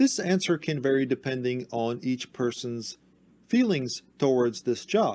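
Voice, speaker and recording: A man's medium-pitched voice with a dark, mellow tone, ordinary pitch variation and a fairly slow pace. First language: not English. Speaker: tech support youtuber. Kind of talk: tutorial.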